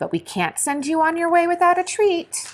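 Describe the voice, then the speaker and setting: Using a put-on character voice, a woman speaks at a moderate pace in an extremely high pitch with fairly even intonation. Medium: read story.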